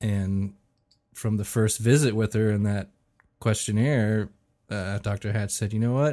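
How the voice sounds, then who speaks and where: At a fairly slow pace with long, frequent pauses, a man speaks in a dark, mellow tone, fairly low in pitch with fairly even intonation, on a very clean recording with a silent background. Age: 40s. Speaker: expectant father. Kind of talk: casual chat.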